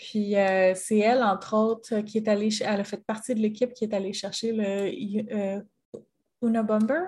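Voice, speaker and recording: Fairly high and somewhat breathy, a woman's voice keeps a moderate pace. Her intonation stays fairly even. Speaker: podcast co-host. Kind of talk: casual chat.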